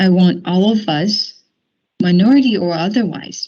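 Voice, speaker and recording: In a Chinese accent, a woman speaks with a fairly low pitch, a somewhat breathy quality and ordinary pitch variation. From mainland China. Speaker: company diversity group leader. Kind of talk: prepared speech at a work meeting.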